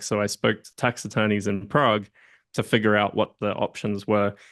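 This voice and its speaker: A man with an Australian accent and vocal fry at a fairly quick pace, in a dry, close sound with no echo over a quiet background. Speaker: entrepreneur and M&A advisor. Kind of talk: casual interview chat.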